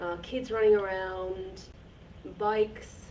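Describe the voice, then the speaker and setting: A woman's fairly high voice with audible room echo. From Finland. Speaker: repair centre workshop host. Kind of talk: casual chat.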